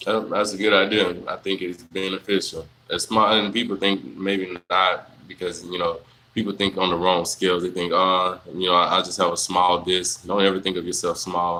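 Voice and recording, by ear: A man talks at a moderate pace with little pitch movement. His voice is low in pitch, with a bright, sharp tone.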